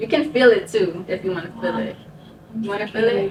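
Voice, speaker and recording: Over noticeable background noise, a woman speaks at a moderate pace with a medium pitch and lively intonation. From South Jersey. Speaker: brain surgery survivor sharing story. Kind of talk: casual chat. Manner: halting.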